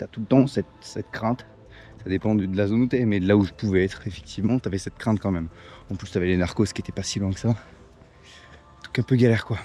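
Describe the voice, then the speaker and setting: Against music in the background, a man with a fairly low pitch talks at a fairly quick pace with fairly even intonation. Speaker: travel vlogger. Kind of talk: casual vlog narration. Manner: hesitant, many fillers; loud.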